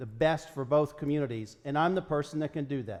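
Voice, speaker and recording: An unremarkable speaking voice from a man with an American accent, fairly high in pitch, at a moderate pace with ordinary pitch variation. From Western Maryland. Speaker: state senator and congressional candidate. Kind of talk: political debate.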